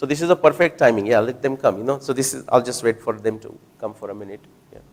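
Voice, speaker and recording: A man at medium pitch, speaking at a very fast pace. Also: ordinary pitch variation, big swings in loudness. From India (Maharashtra). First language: Marathi. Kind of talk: talk with audience Q&A. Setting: hall with live audience. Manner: conversational, with fillers and restarts.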